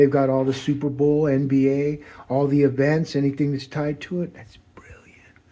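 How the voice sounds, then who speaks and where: A man with a fairly high pitch, a dark, mellow tone, monotone, flat intonation and a moderate pace. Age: 60s. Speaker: political commentator. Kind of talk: monologue. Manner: rambling, halting.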